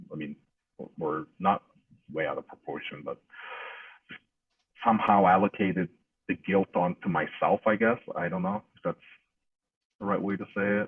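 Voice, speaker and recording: A man with a non-native accent and a fairly low pitch speaks at a moderate pace with ordinary pitch variation and long, frequent pauses. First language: not English. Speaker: interviewee recounting life experience. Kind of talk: interview testimony. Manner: hesitant, many fillers.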